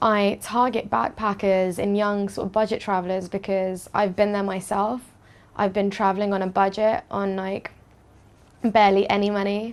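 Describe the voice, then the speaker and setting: Speaking at a moderate pace, a woman with a British accent holds a medium pitch in a monotone, flat intonation. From London, England. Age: 20s. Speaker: hostel owner. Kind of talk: interview.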